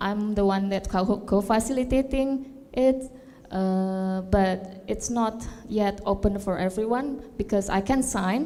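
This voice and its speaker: Over noticeable background noise, a woman talks at a fairly slow pace, with medium pitch and ordinary pitch variation. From Indonesia, Jakarta. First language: not English; English is third language. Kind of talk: panel discussion. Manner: halting.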